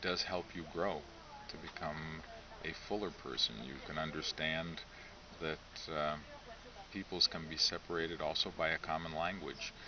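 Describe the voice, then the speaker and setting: Noticeable background noise sits under a man's voice. He speaks at a moderate pace with a very deep, low pitch and fairly even intonation. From United States (Lithuanian-American). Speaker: clergyman. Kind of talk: interview. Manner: measured, with frequent hesitations.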